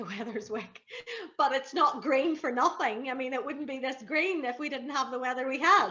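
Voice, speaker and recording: A woman uses a raised, projected voice at a high pitch, with noticeable background noise behind her. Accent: Belfast. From Northern Ireland. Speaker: TV and radio broadcaster. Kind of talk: interview answer. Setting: outdoors.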